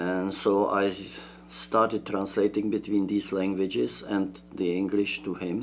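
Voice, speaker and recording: A man with a Czech accent speaks fairly slowly, his pitch fairly low with ordinary variation. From Czechoslovakia. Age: 80s+. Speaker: retired engineering professor. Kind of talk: interview. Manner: halting.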